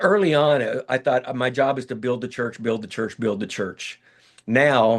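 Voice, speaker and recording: An American accent at a moderate pace, with ordinary pitch variation. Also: man, medium pitch for a man. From Kansas. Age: 60s. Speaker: pastor. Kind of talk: interview. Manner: halting.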